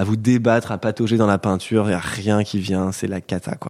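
It's a plain, everyday voice. The man speaks at a fairly low pitch and fairly quick pace with fairly even intonation. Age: 20s. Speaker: painter. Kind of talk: interview. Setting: painter's studio near Paris.

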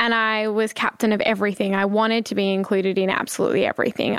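Fairly quick, monotone and flat delivery in a dry, close sound with no echo, on a very clean recording with a silent background. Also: woman. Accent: Australian. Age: 20s. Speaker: charity founder and CEO. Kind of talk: interview conversation.

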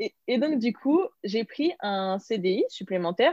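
A woman's dark, mellow tone with lively intonation, a quiet background, and a dry, close sound with no echo. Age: 20s. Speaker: content creator and entrepreneur. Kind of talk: casual interview chat.

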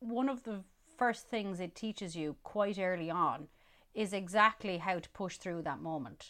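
A woman speaks with an Irish midlands accent. Her intonation is lively, though her pace is fairly slow. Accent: Irish (Roscommon, midlands). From Ireland, County Roscommon. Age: 30s. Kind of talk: casual interview chat. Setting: remote recording. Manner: animated.

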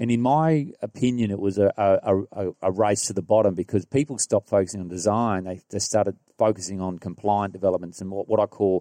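In an Australian accent, a man talks at a very fast pace with a fairly low pitch and a dark, mellow tone, the sound dry and close with no echo against a quiet background. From rural New South Wales, Australia. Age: 40s. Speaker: property developer. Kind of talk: casual interview. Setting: property display suite.

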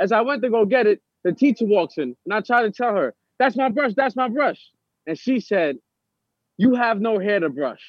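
In a New York accent, a man with a high pitch talks at a moderate pace with lively intonation. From New York City (Harlem, Brooklyn, Bronx). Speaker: formerly incarcerated actor. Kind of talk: interview.

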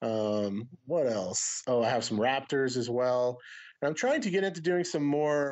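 This is a man with an unremarkable speaking voice. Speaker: disc golf YouTuber. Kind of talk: casual chat.

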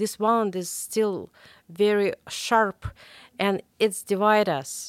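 A woman speaks at a very slow pace with fairly even intonation. The sound is dry and close with no echo. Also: medium pitch for a woman. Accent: Russian. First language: Russian. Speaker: investigative journalist. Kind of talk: interview. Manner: halting, many fillers and repetitions.

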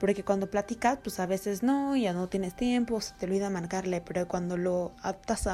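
A woman's voice has a dark, mellow tone and fairly even intonation. She keeps a fairly quick pace. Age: 30s. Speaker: market researcher. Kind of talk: recorded testimony.

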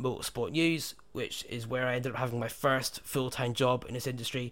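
A man with a British accent, medium pitch and moderate pace on a very clean recording with a silent background. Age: 20s. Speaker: podcast host and company co-founder. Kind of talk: casual chat.

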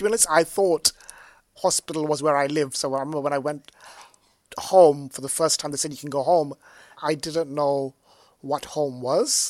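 A man at fairly high pitch and a moderate pace, with fairly even intonation, long, frequent pauses, and a dry, close sound with no echo. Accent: London. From London, England. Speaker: artist and tech analyst. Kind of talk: casual chat.

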